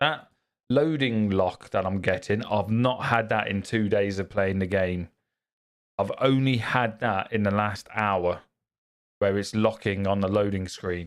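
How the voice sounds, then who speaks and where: Fairly even intonation from a man with a British accent and a fairly low voice, on a very clean recording with a silent background. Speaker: gaming streamer. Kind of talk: live gameplay stream chatting with viewers. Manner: loud.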